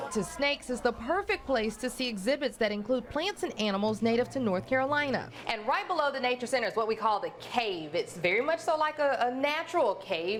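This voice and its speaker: A woman's high pitch with very wide pitch swings and hardly any pauses, over noticeable background noise. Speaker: news anchor. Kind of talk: TV news feature report.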